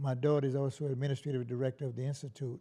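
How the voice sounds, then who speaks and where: A man speaks with a fairly high pitch, a dark, mellow tone, a somewhat breathy quality, and fairly even intonation. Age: 80s+. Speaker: anti-racism organizer. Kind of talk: interview. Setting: studio. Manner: halting.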